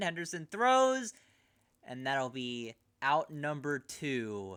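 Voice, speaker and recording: With an American accent, a man speaks at a fairly slow pace with very wide pitch swings on a very clean recording with a silent background. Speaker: streamer doing live baseball commentary. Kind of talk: live commentary. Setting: live stream.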